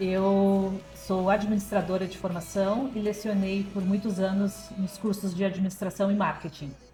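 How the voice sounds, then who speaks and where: Over music in the background, a woman speaks at a fairly slow pace in a medium pitch, with monotone, flat intonation and hardly any pauses. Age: 50s. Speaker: artisan, former university lecturer. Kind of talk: TV interview.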